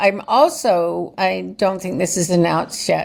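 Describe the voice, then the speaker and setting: A woman uses an unremarkable speaking voice at medium pitch and a fairly slow pace. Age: 60s. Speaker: author and journalist. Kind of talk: casual interview chat.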